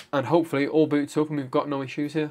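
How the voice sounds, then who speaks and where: Here a man speaks with a British accent at a fairly high pitch. The background is quiet. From UK. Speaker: gaming YouTuber. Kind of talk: tutorial. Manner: casual, conversational. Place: home room.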